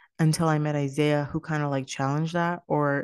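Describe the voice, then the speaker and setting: A woman talks at a moderate pace in a very deep, low pitch. The sound is dry and close with no echo, over a quiet background. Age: 20s. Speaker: podcast host. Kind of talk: casual monologue. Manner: low energy.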